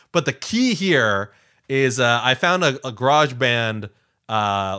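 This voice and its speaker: A man with a medium pitch and a bright, sharp tone talks at a very slow pace with lively intonation, recorded very cleanly against a silent background. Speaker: podcast host. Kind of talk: casual chat. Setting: home recording, USB mic. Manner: halting, many repetitions.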